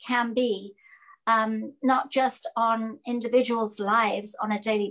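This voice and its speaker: A woman with an English accent talks at a fairly high pitch. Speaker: judicial candidate, former public defender. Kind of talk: interview.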